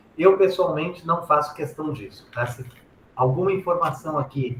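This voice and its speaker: A man talks in a somewhat breathy voice. The rise and fall of his pitch is ordinary. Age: 60s. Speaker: software engineering speaker and author. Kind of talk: presentation talk.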